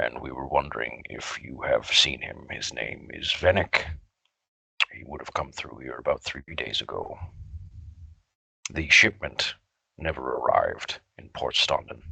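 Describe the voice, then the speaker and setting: A man puts on a raspy character voice. He speaks at a moderate pace. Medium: actual play. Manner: polite, measured.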